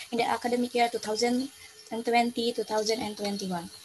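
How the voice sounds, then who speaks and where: Over noticeable background noise, a woman with an Indonesian accent talks at a fairly high pitch with fairly even intonation. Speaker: student presenting thesis proposal. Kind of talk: academic presentation. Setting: video call. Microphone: video call.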